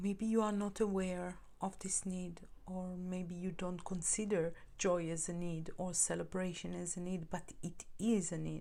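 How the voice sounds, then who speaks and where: A woman with a non-native accent, medium in pitch, dark and mellow in tone, flat and monotone, fairly slow, with audible room echo. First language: not English. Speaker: tarot reader. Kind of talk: tarot reading monologue. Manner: halting, repeats words.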